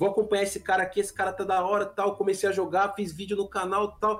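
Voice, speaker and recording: Music plays in the background as a man speaks at a high pitch. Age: 30s. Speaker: gaming YouTuber. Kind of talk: casual chat.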